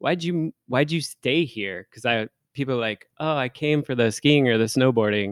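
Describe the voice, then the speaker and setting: Talking at a moderate pace, a man with an unremarkable speaking voice and medium pitch uses lively intonation. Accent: American. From Seattle area, Washington. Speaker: head brewer. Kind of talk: casual chat.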